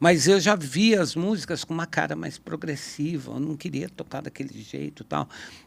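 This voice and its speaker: Recorded very cleanly against a silent background, a man talks at a moderate pace with lively intonation. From Brazil, São Paulo state interior. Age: 60s. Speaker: guitarist. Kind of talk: podcast conversation. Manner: casual, halting.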